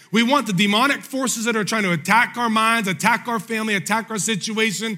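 In a raised, projected voice, a man talks at a fairly quick pace with a high pitch and a bright, sharp, animated tone. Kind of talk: sermon. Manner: animated, call-and-response preaching; emphatic, urgent, driving rhythm.

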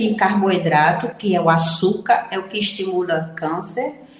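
A somewhat breathy woman's voice with audible room echo. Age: 70s. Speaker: physician. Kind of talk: radio interview.

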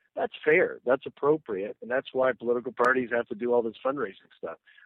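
Here is a man with an unremarkable speaking voice at medium pitch. He talks at a fairly quick pace. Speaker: political commentator. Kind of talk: radio interview. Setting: phone call.

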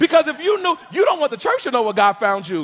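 An animated man's voice with very wide pitch swings, against noticeable background noise. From Harlem, New York City. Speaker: pastor. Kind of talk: sermon. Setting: church.

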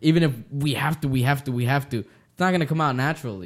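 A man with an ordinary speaking voice talks fairly quickly at a fairly high pitch with ordinary pitch variation. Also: very clean recording, silent background. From US, Mexican-American family. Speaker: podcast host. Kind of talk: casual chat.

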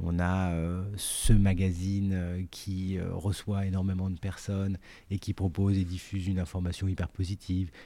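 This man's very deep, low voice has a dark, mellow tone and a flat, monotone delivery. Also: fairly slow pace, very clean recording, silent background. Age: 40s. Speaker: artistic director and editor of a cooking company. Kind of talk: interview. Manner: halting, many repetitions and fillers.

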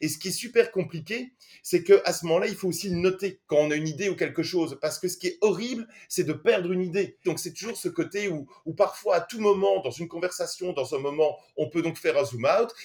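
Male speech, high-pitched for a man and fairly quick, with ordinary pitch variation. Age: 40s. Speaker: film director and screenwriter. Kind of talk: interview.

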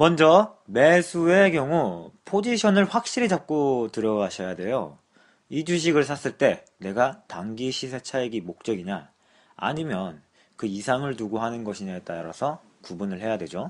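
A man at a medium pitch, fairly slow, with very wide pitch swings against a quiet background. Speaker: stock podcast co-host. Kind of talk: casual chat.

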